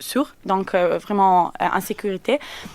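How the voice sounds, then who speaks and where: A very slow delivery with ordinary pitch variation, dry and close with no echo, on a very clean recording with a silent background. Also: woman. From Italy. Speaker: company representative. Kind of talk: radio interview. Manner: halting.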